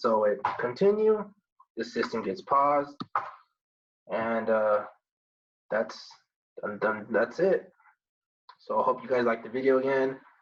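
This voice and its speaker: A man speaks with very wide pitch swings and long, frequent pauses. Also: medium pitch for a man, fairly slow pace. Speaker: computer science student. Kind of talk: tutorial. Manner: halting.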